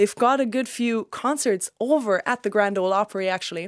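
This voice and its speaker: On a very clean recording with a silent background, a woman speaks at a fairly high pitch and a fairly quick pace. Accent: German. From Germany. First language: German. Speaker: country singer. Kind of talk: casual chat.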